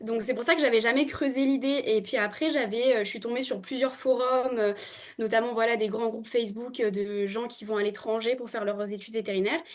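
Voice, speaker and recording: Fairly quick talk from a woman with a fairly high pitch, fairly even intonation and big swings in loudness. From New Caledonia. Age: 20s. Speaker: veterinary student. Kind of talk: podcast interview. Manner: hesitant, many fillers.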